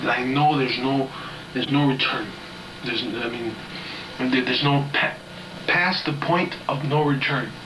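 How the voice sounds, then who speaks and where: A man with an American accent at a moderate pace, fairly high pitch and fairly even intonation, with noticeable background noise and audible room echo. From US South, Georgia. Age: 20s. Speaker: video diarist. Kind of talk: video diary monologue. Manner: halting, many fillers and restarts.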